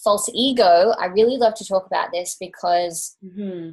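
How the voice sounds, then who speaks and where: This woman has an ordinary speaking voice at a medium pitch. She talks at a moderate pace with fairly even intonation. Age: 30s. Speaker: Ayurveda practitioner and teacher. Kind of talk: interview.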